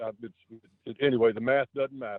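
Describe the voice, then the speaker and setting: Speaking with a coastal North Carolina accent, a man keeps a medium pitch and a moderate pace. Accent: coastal North Carolina Southern. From North Carolina coast, Wilmington. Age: 70s. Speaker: city councilman. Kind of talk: radio interview. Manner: halting.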